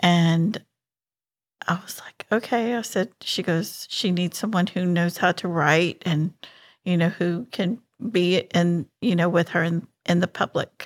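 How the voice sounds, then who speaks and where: In a plain, everyday voice, a woman talks with fairly low pitch and fairly even intonation. The recording is very clean, with a silent background and a dry, close sound with no echo. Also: fairly slow pace. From Houston, Texas. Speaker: charity coordinator. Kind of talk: casual interview.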